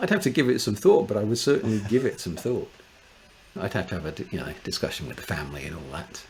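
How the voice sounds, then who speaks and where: A man with a fairly low pitch talks at a very fast pace, with very wide pitch swings and big swings in loudness. Noticeable background noise runs underneath. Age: 60s. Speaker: space engineer. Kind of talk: casual chat.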